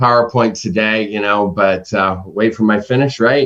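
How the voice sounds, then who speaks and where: A man is speaking. His pace is moderate. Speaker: conference presenter. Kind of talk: presentation. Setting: webinar. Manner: loud; halting.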